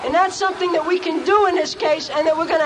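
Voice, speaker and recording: A woman speaks at an extremely high pitch. Noticeable background noise runs underneath. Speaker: activist and indicted protester's mother. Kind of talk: rally speech. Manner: defiant, impassioned.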